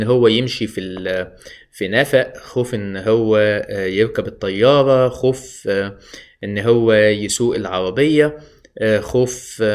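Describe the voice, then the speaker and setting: Against a quiet background, a man speaks at a very slow pace. His pitch variation is ordinary. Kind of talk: educational talk. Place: home room. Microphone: phone near.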